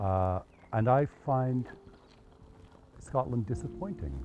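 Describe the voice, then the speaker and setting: A man's pitch swings very widely while music plays in the background. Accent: Canadian. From Canada. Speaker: park volunteer group organizer. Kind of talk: interview.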